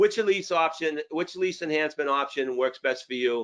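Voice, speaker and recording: The speaker has a Boston accent. The pace is moderate. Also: man. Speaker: sales trainer. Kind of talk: training webinar. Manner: animated.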